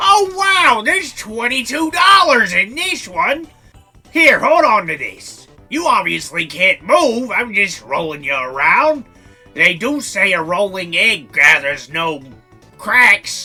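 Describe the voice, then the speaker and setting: A man uses a put-on character voice, raised and projected, at an extremely high pitch with very wide pitch swings and a fairly slow pace, while faint music plays in the background. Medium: audio drama.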